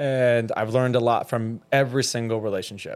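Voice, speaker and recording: A man speaks at a moderate pace with an American accent, his pitch medium and his intonation fairly even. It is an unremarkable speaking voice. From US South, Georgia. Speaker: fitness trainer. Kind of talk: casual chat. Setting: studio.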